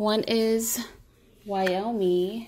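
A woman talks in an animated tone at a fairly high pitch. Light background noise sits behind her. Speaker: vlogger. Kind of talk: casual vlog chat. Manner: chatty, animated. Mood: pleased, enthusiastic. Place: home room. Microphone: phone near.

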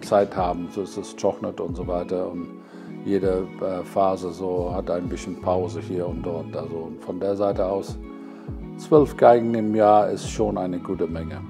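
Against background music, a man with a very deep, low voice speaks fairly slowly with lively intonation. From England. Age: 70s. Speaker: violin maker. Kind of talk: interview answer.

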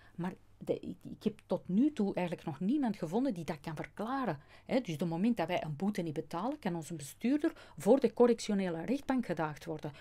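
Her tone is dark and mellow, somewhat breathy, with very wide pitch swings. The woman talks at a fairly quick pace. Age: 50s. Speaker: customs agent and natural law speaker; speaker. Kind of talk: interview. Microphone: studio mic.

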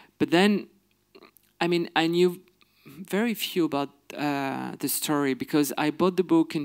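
A man speaks in a French accent at a fairly slow pace. The background is quiet. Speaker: filmmaker guest. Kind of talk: interview answer. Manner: halting. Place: stage. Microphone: handheld.

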